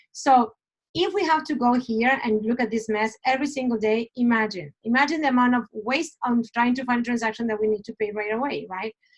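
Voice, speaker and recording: Here a woman speaks at a fairly quick pace and a high pitch. Her pitch variation is ordinary. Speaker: real estate broker training agents. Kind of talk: screen-share tutorial. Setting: screen recording. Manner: fast.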